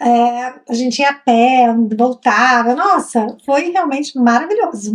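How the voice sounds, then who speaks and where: The speaker, in a Brazilian accent, goes at a very slow pace with very even loudness and ordinary pitch variation. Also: woman, high pitch for a woman. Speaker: travel vlogger. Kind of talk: casual chat.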